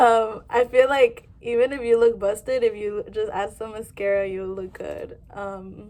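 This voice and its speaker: At a fairly slow pace, a woman speaks in a dark, mellow tone with fairly even intonation and big swings in loudness. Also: hardly any pauses. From Southern California, San Diego. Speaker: vlogger, college student. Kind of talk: casual vlog monologue. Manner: casual, filler-heavy.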